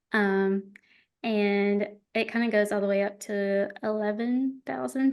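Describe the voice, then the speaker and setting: Here a woman talks in an Alabama accent. The background is quiet. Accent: Southern US (Alabama). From rural Alabama. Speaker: wedding videographer. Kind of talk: podcast interview.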